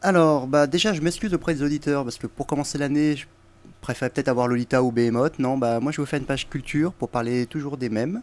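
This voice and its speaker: A man's very fast speech, fairly high for a man, with ordinary pitch variation. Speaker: guest. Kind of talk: casual chat, explaining urban legends.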